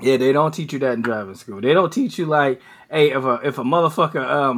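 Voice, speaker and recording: A man with an unremarkable speaking voice talks fairly quickly and fairly high, in an American accent. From Cleveland, Ohio. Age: 40s. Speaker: podcast co-host. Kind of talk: casual chat.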